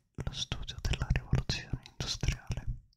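Whispering, a man speaks at a very slow pace. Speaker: ASMR streamer. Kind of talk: live stream chat with viewers. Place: home room. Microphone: studio mic.

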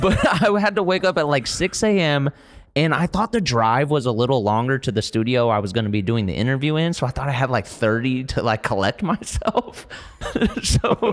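Against a quiet background, a man talks fairly quickly with very wide pitch swings. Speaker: podcast guest. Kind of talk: casual storytelling on a podcast. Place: home room. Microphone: studio mic.

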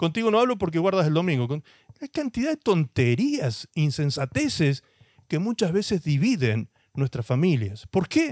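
Over a quiet background, a man's high voice moves at a moderate pace through very wide pitch swings, the sound dry with no echo. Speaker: pastor. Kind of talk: sermon. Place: studio. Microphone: handheld.

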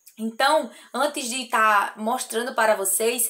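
Her tone is bright and sharp. It belongs to a woman. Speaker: crochet artisan youtuber. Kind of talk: casual vlog chat. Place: workshop.

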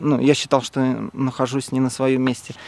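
A man at a fairly slow pace, in a dry sound with no echo. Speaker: interviewee. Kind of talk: interview answer. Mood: candid, slightly uneasy. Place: open country. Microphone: phone near.

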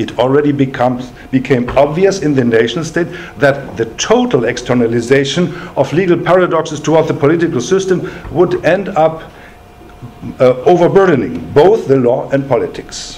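A man with a fairly high voice speaks at a moderate pace, his intonation lively. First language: German. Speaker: law professor. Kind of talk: lecture. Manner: formal. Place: meeting room.

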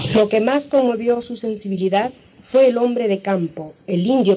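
With music in the background, a woman talks at a moderate pace with ordinary pitch variation. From Peru. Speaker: painter. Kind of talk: documentary narration.

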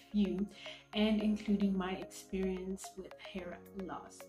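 There is faint music in the background and audible room echo. A woman speaks at a fairly slow pace. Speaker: natural hair vlogger. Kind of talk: casual talk to camera. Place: home room. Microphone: phone near.

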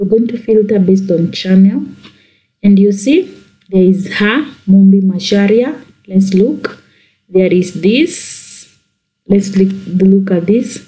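The voice is somewhat breathy, with a dark, mellow tone and ordinary pitch variation. It moves at a very slow pace with long, frequent pauses. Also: woman, medium pitch for a woman. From Kenya. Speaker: YouTuber. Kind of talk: tutorial.

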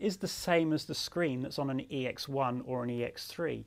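This man talks at a moderate pace and a medium pitch, with vocal fry in his voice.

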